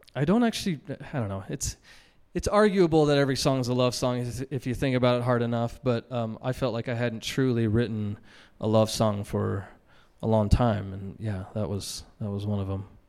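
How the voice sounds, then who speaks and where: Medium-pitched with ordinary pitch variation, a man speaks at a fairly quick pace in an ordinary speaking voice. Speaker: singer-songwriter and multi-instrumentalist. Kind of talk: live interview in front of audience. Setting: stage with live audience.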